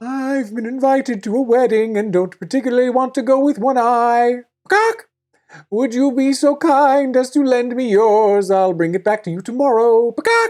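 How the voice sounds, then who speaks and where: A put-on character voice with a fairly high pitch. It moves at a moderate pace. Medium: read story. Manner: sly.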